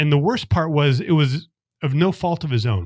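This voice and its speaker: Using a normal speaking voice, a man delivers his words with lively intonation at a moderate pace. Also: very clean recording, silent background. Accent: American. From US West, Las Vegas. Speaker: accountant and investor. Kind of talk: podcast interview.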